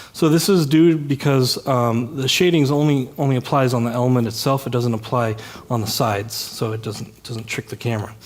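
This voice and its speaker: Male voice of medium pitch at a fairly quick pace, ordinary pitch variation, noticeable background noise and audible room echo. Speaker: software developer giving a tech talk. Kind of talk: conference talk. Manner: fast; many filler words.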